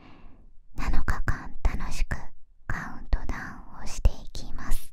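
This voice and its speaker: A soft-spoken woman whispers at a very slow pace, with big swings in loudness. The sound is dry with no echo. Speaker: ASMR creator. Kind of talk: soft-spoken ASMR unboxing chat. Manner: soft close whisper. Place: home room. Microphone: studio mic.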